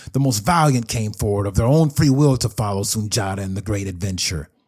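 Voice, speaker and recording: A man speaks in a somewhat breathy voice with an animated, dramatic tone and lively intonation. The recording is very clean, with a silent background. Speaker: podcast host and history storyteller. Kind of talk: epic history narration. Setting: studio podcast. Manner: animated, dramatic storyteller pacing that builds tension; warm, direct, audience-engaging.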